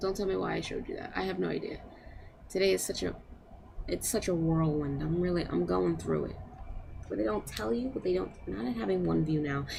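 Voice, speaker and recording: A woman with a very deep, low pitch talks quietly at a fairly quick pace, with very wide pitch swings, long, frequent pauses, and audible room echo. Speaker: live streamer. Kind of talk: casual live stream chat. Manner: quiet, keeping voice down.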